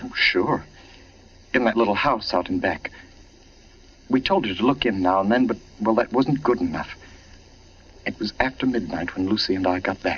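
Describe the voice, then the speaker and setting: A man speaks in an anxious tone at a moderate pace, with ordinary pitch variation and long, frequent pauses. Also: medium pitch for a man. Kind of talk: radio drama dialogue. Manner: urgent, anxious.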